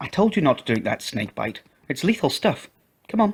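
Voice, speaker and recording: A man's squeaky, high-pitched put-on character voice, moderate in pace with very wide pitch swings. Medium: read story.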